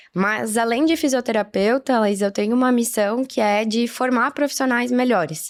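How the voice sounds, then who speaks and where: Speaking at a moderate pace with hardly any pauses, a woman keeps a very even loudness, her fairly high pitch showing ordinary variation on a very clean recording with a silent background. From southern Brazil, Caxias do Sul, Rio Grande do Sul. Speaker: physiotherapist and marathon runner. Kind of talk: podcast interview.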